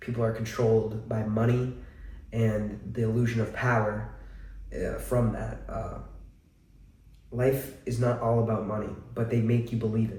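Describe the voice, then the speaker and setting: A man's medium-pitched, somewhat breathy voice with an American accent and a dark, mellow tone, monotone and flat in intonation, at a moderate pace with long, frequent pauses and audible room echo. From central Massachusetts. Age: 20s. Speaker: vlogger. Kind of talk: personal testimony. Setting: at home. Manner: casual, hesitant with many fillers.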